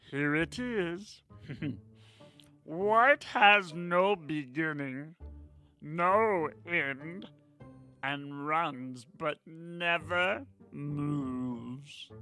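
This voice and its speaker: A bellowing, put-on character voice at a middle pitch, delivered at a very slow pace with long, frequent pauses. Faint music plays in the background. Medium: read story. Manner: bellowing, suspicious.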